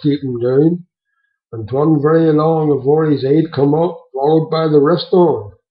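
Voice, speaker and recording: A somewhat breathy man's voice, fairly high in pitch, at a moderate pace with fairly even intonation. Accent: Devon. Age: 70s. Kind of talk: storytelling, reminiscence.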